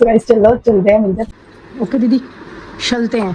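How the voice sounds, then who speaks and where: Fairly slow speech from a woman with a fairly high pitch, over noticeable background noise. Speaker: vlogger. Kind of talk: casual vlog.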